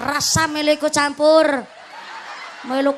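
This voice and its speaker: Her tone is animated as this woman speaks. Background noise is noticeable. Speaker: Islamic preacher. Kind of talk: religious sermon with humor. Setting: outdoor stage with PA system. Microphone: echo effect on PA removed.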